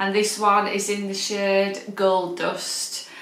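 A woman with a Yorkshire accent amid audible room echo and faint background music. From Yorkshire, northern England. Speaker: beauty vlogger. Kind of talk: product review vlog. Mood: relaxed, chatty. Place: home room. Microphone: phone near.

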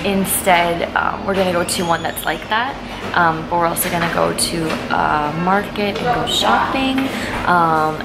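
The pitch rises and falls in an ordinary way. Clear music plays in the background. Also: woman, moderate pace. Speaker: vlogger. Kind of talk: casual vlog chat. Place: cafe. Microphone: phone near.

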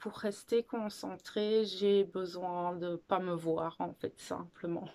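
Speaking very slowly with hardly any pauses, a woman keeps a medium pitch and fairly even intonation. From Belgium, Ardennes. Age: 30s. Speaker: video blogger on spirituality. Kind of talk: casual talk to camera, personal sharing. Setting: video recording, filmed alone. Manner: hesitant, many fillers and repetitions. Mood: shy, reflective. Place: home room. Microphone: phone near.

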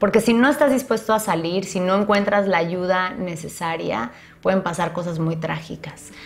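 Faint music sits in the background while a woman speaks at a medium pitch and moderate pace with lively intonation. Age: 30s. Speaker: YouTuber; vlogger sharing personal experience. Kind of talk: personal monologue to camera; casual vlog chat. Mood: serious, reflective. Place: home room.

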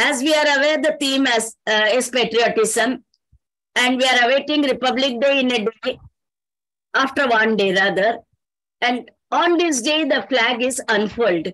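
A woman with a high voice speaks with long, frequent pauses, the sound dry with no echo against a quiet background. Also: ordinary pitch variation, moderate pace. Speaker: online program host. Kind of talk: event hosting speech. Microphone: video call.

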